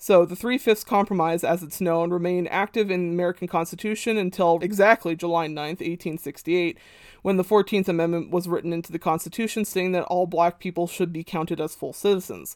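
Fairly quick and with hardly any pauses, a woman with an unremarkable speaking voice and fairly low pitch keeps her intonation fairly even, recorded very cleanly against a silent background with a dry, close sound and no echo. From Canada. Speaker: music history podcaster. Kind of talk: scripted narration. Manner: casual.

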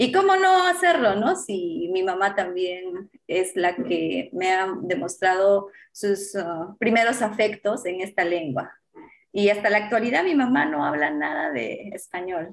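A plain, everyday voice from a woman, medium in pitch, with lively intonation at a fairly slow pace. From Peru, Apurímac (Andean). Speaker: journalist and TV presenter. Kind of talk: interview.

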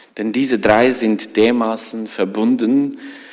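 A man with a non-native accent talks at a very slow pace. His pitch is fairly low. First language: not German (speaking German). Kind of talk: sermon. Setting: church.

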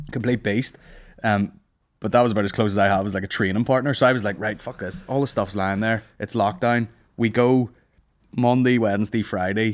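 A man speaks fairly quickly at a fairly low pitch, with fairly even intonation. The recording is very clean, with a silent background. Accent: Northern Irish. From Northern Ireland. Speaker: stand-up comedian. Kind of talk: casual chat. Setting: studio.

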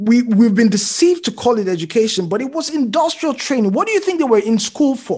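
Speaking with a Nigerian accent, a man has an extremely high pitch. His intonation is lively. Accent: Nigerian (Yoruba) English. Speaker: physician and writer. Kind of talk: casual conversation.

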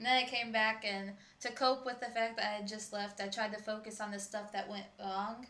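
Talking at a fairly quick pace, a woman with a fairly high pitch and an American accent keeps a monotone, flat intonation. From Michigan. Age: young. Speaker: traveler and coffee shop worker. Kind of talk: casual chat.

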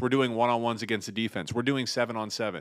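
In an American accent, a man talks in an animated tone on a very clean recording with a silent background. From Ohio (Pickerington, near Columbus). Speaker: podcast co-host, former college football player. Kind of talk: casual chat.

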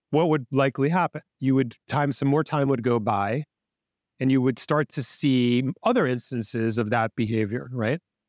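In an ordinary speaking voice, a man talks at a moderate pace and medium pitch with ordinary pitch variation and very even loudness, the sound dry and close with no echo against a quiet background. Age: 50s. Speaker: business coach and author. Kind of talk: casual interview.

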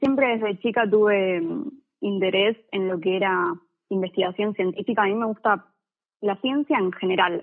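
A woman with a plain, everyday voice speaks at a moderate pace in a medium pitch with ordinary pitch variation. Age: 20s. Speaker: physics student. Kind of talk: casual chat. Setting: phone call.

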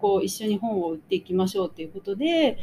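Her voice somewhat breathy and dark, mellow in tone, a woman speaks with very wide pitch swings. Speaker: magazine editor and podcast co-host. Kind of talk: casual chat.

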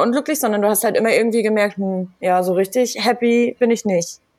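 A woman with an ordinary speaking voice, fairly high pitch, ordinary pitch variation and a moderate pace. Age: 30s. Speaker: podcast host. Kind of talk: interview.

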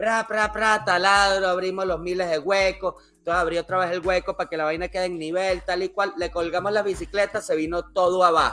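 Raised and projected, the voice has a bright, sharp tone and monotone, flat intonation, moving at a fairly quick pace with hardly any pauses on a very clean recording with a silent background. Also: man, high pitch for a man. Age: 40s. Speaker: podcast host. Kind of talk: casual chat.

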